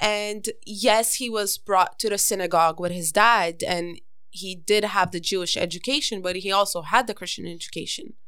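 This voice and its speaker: On a very clean recording with a silent background, a woman speaks with a Montreal accent. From Montreal West Island, Canada. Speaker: guest. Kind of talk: casual chat.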